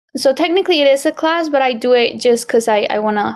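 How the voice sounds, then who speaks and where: Speaking in a Spanish accent, a woman uses a high pitch. She keeps a moderate pace. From Colombia. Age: 20s. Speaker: graphic designer. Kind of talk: interview.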